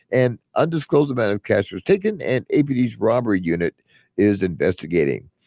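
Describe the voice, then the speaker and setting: At a moderate pace, a man with a dark, mellow tone and vocal fry speaks at a medium pitch through very wide pitch swings, the sound dry and close with no echo. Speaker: crime reporter. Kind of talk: casual chat.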